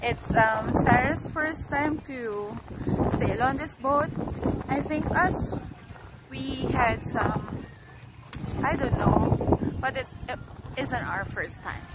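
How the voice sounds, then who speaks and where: Speech comes at a very slow pace, broken by long, frequent pauses. The sound is dry with no echo, and loud background noise runs underneath. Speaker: family vlogger. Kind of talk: casual vlog chat. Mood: cheerful, relaxed. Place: waterside. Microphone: phone near.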